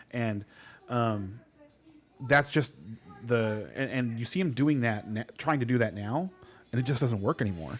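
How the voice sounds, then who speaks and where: Music plays behind a man of medium pitch talking at a moderate pace. He makes long, frequent pauses and varies his pitch in an ordinary way. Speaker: fantasy football podcast co-host. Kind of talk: casual chat. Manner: loud; halting.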